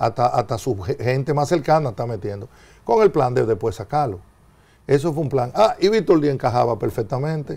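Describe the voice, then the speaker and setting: A man with a dark, mellow, somewhat breathy medium-pitched voice speaks at a moderate pace with lively intonation. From Dominican Republic. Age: 60s. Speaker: former government minister. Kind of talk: TV interview. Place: studio. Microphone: lapel.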